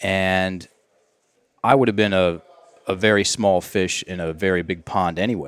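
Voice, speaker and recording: The speaker has an American accent and fairly even intonation. Long pauses come often. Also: man, very deep, low pitch for a man. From US South (Virginia). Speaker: language and mindset coach. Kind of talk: casual podcast interview.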